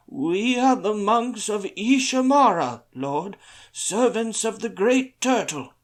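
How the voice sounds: A man's put-on character voice, high-pitched and shaky, at a fairly slow pace on a very clean recording with a silent background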